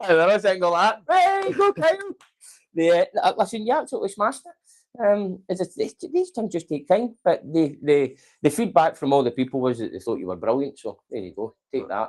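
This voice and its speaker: A man speaks at a fairly quick pace. He has a Scottish accent. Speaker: company manager hosting staff show. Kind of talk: casual interview. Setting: office Christmas lunch, live stream. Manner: loud.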